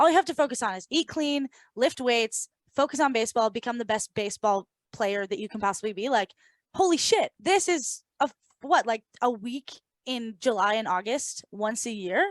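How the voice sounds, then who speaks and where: Her pitch sits fairly high, and she is a woman with a normal speaking voice. She talks with lively intonation at a moderate pace. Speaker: podcast co-host. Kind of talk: casual podcast conversation.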